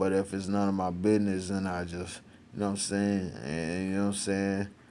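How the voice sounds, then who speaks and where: Very deep, low voice of a man at a very fast pace, with audible room echo. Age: 30s. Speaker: rapper and vlogger. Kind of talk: casual monologue. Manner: animated.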